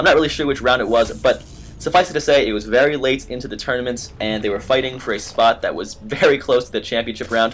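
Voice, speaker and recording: A man's very fast speech at a medium pitch, with ordinary pitch variation and music in the background. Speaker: game commentator. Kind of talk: live commentary. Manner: loud at times. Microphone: built-in laptop mic.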